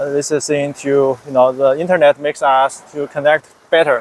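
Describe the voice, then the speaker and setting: A man with a Chinese accent speaks at a fairly high pitch. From China. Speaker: software developer, English learner. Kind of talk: interview. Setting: Thailand, in person. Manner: halting, many hesitations and repetitions.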